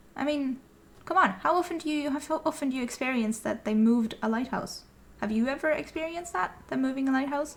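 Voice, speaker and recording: A woman talks at a very fast pace with a high pitch. Her pitch variation is ordinary. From Norway. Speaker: gaming YouTuber. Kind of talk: casual gameplay commentary. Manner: animated.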